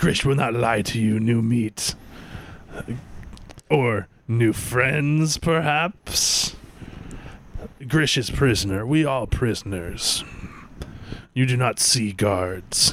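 Putting on a character voice, a man of medium pitch speaks at a very slow pace with long, frequent pauses. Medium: actual play. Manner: broken grammar, speaks of himself by name.

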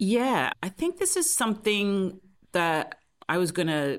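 Very clean recording with a silent background. A woman speaks in a Welsh accent at a medium pitch. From South Wales. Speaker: public health researcher. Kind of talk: interview answers.

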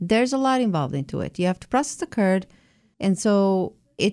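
A woman speaks with an Italian accent at a medium pitch, her tone dark and mellow. Her intonation is lively and her pace fairly quick. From southern Italy. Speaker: cheesemaker. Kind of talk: radio interview.

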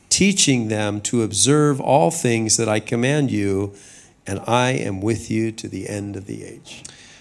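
With audible room echo, a man speaks at a fairly slow pace in a fairly low pitch, showing ordinary pitch variation and big swings in loudness. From US West, Southern California. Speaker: senior pastor. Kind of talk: sermon. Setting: church with congregation. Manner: measured, pausing for interpreter.

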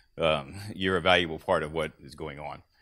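Recorded very cleanly against a silent background, a man talks at a fairly quick pace. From US Midwest, southern Illinois. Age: 60s. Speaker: farm equipment dealer. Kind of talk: conference talk. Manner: halting.

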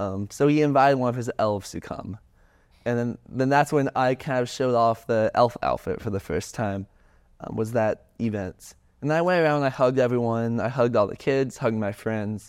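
An unremarkable speaking voice from a man with an American accent, medium in pitch with ordinary pitch variation, at a moderate pace against a quiet background. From US South, suburbs of Atlanta, Georgia. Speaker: student, mental health club founder. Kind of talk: casual interview.

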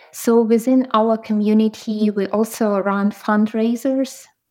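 A woman's fairly high voice with fairly even intonation, a very slow pace, and a Ukrainian accent. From Ukraine. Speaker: product designer and community founder. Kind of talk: interview.

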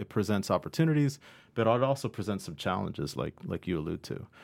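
In an American accent, a man talks at a very fast pace with a fairly low pitch, vocal fry and very wide pitch swings, on a very clean recording with a silent background. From Ohio, US. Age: 50s. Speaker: statistics professor. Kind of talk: interview. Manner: halting.

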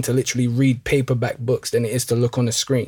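A man with a medium pitch sounds somewhat breathy at a moderate pace. The recording is very clean, with a silent background. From Northwest London. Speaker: former footballer, mental health and music researcher. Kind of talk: interview.

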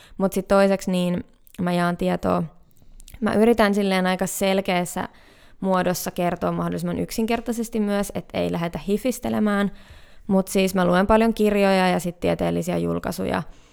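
A woman with a normal speaking voice talks at a moderate pace and medium pitch with fairly even intonation, in a very clean recording with a silent background. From Finland, Hämeenkyrö (Pirkanmaa). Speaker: nature wellbeing entrepreneur. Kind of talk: casual interview. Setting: studio.

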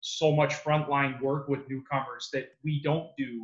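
Somewhat breathy and fairly high in pitch, a man speaks fairly slowly with a Canadian accent. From Canada, Mississauga, Ontario. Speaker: business development representative at a testing company. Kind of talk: interview.

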